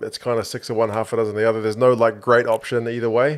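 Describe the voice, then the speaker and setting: With a New Zealand accent, a man speaks at a medium pitch in monotone, flat intonation over a quiet background. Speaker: sports podcast co-host. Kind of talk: casual chat. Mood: relaxed, joking. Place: studio. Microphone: studio mic.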